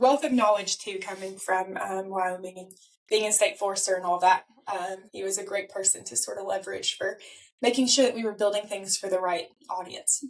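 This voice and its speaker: A woman with a Southern US accent talks at a fairly quick pace and medium pitch, with ordinary pitch variation and big swings in loudness. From US South. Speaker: fire data researcher. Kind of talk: interview.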